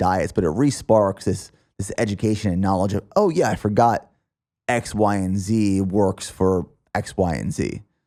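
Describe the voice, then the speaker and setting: In a Pennsylvania accent, a man speaks with a dark, mellow tone at a fairly low pitch with ordinary variation, on a very clean recording with a silent background. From Pennsylvania, US. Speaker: podcast host and fitness athlete. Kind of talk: podcast interview conversation.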